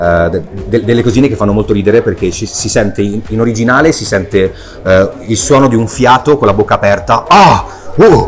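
Over light background noise, a man talks at a fairly quick pace with a medium pitch and ordinary pitch variation. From Italy. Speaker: voice actor. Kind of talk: interview answer. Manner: casual, hesitant. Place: shop.

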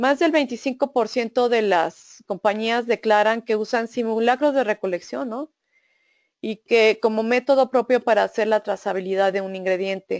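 In a dry, close sound with no echo, a woman with a fairly high pitch and ordinary pitch variation speaks at a fairly slow pace. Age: 50s. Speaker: food safety auditor and trainer. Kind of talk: webinar lecture. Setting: online webinar. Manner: halting, frequent fillers and repeated syllables.

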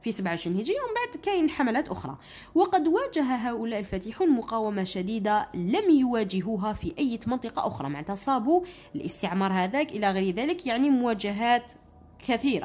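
At a moderate pace, a woman with an Algerian accent talks with very wide pitch swings. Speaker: school teacher. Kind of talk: tutorial. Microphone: phone near.

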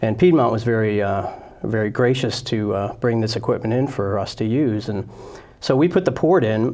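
This man has a dark, mellow tone and an American accent. He talks at a moderate pace. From New Jersey, Princeton; New Jersey. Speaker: gynecologist surgeon; guest. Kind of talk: interview. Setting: studio. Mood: calm, grateful. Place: studio. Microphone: lapel.

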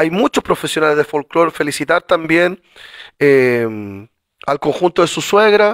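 Against a quiet background and in a dry sound with no echo, a man with a fairly high pitch talks at a fairly slow pace, using lively intonation and long, frequent pauses. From Chile. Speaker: city councillor. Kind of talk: formal council meeting. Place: meeting room.

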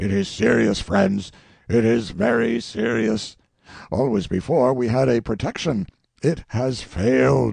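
Putting on a raspy character voice, a man speaks at a fairly slow pace with medium pitch and lively intonation. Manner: grave, worried.

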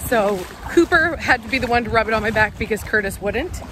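A woman's voice with very wide pitch swings, dry with no echo over light background noise. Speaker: family vlogger. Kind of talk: casual vlog chat. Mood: playful, amused. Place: beach. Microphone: phone near.

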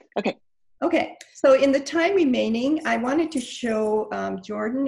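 Very slow, somewhat breathy speech from a woman with lively intonation against a quiet background. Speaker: meeting host presenting. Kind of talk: meeting presentation. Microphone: video call.

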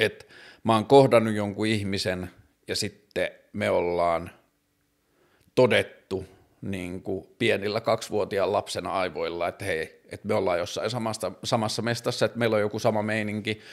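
Against a quiet background, a man speaks at a fairly low pitch. His pace is moderate and his intonation fairly even. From northern Finland, Tornio; northern Finland. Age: 30s. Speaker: vlogger, talk show host. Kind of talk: solo monologue vlog; casual personal talk. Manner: halting, many fillers. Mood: reflective, personal. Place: home room. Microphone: studio mic.

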